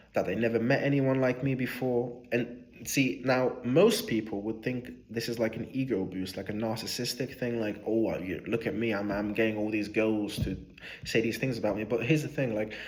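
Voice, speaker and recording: Moderate pace and fairly even intonation from a man at medium pitch, with audible room echo. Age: 20s. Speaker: vlogger. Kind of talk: casual reflective monologue. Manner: hesitant with fillers.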